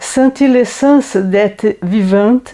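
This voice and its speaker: A dark, mellow tone comes through. It belongs to a woman. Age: 70s. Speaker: library patron interviewed about reading. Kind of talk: interview answer.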